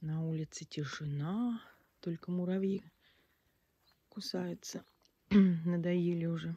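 At a very slow pace, a woman speaks with fairly low pitch, a dark, mellow tone and a somewhat breathy quality. Her pitch variation is ordinary, she leaves long, frequent pauses, and the sound is dry with no echo. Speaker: village vlogger. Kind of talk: casual video tour. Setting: outdoors. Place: garden. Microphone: phone near.

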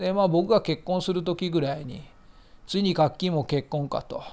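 High-pitched for a man, this male speaker holds a fairly even intonation in a very clean recording with a silent background. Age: 40s. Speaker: hobbyist fish-keeping YouTuber. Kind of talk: casual vlog monologue.

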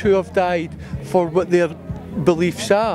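Over clear background music, a man with a Scottish accent speaks in a high voice, the sound dry with no echo. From Scotland. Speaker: historical reenactor. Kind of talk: interview answer. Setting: outdoors. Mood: earnest, reflective. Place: open country. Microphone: handheld.

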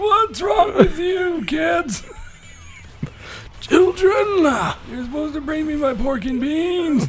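A man shouts in a put-on character voice at a fairly slow pace. Clear music plays in the background. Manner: grumpy, demanding.

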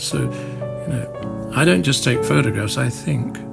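Clear music plays behind a man as he talks. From north London. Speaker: war photographer. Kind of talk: documentary interview. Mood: reflective, haunted, quiet. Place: home room.

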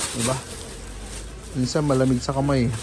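Amid noticeable background noise and audible room echo, a man talks fairly quickly at a medium pitch. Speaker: vlogger, Filipino migrant worker in Taiwan. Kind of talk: casual vlog narration.

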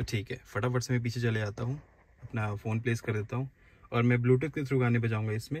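At a medium pitch, a man talks at a fairly quick pace with a slightly mellow tone.

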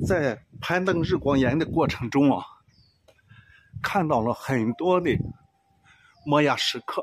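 Slow to a great degree, a man speaks at a fairly high pitch with ordinary pitch variation, very even loudness and long, frequent pauses. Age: 70s. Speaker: solo road-tripper. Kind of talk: travel vlog narration.

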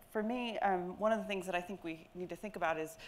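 A woman talks at a fairly quick pace with ordinary pitch variation. Light background noise can be heard. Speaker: education researcher; panelist. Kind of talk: panel remarks. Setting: stage with audience. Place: hall. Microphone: lapel.

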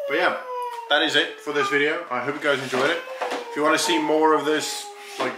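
There is noticeable background noise. Through it a man speaks with ordinary pitch variation. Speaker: vlogger. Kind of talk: casual vlog chat. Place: kitchen. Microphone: phone near.

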